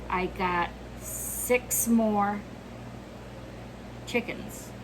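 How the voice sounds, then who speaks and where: Over noticeable background noise, a woman speaks at a medium pitch. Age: 60s. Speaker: homesteader. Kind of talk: casual talk to camera.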